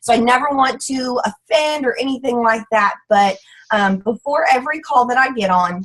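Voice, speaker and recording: There's an animated tone to this woman's Texas accent. Her pitch is high and her intonation lively. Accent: Southern US (Texas). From US South. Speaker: direct sales ambassador. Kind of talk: motivational talk on a team call. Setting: group conference call. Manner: fast.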